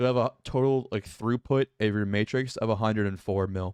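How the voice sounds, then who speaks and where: A normal speaking voice runs at a fairly quick pace with ordinary pitch variation. The sound is dry and close with no echo, over a quiet background. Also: man. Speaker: gaming YouTuber. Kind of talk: gameplay tutorial. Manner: repeats words, fillers.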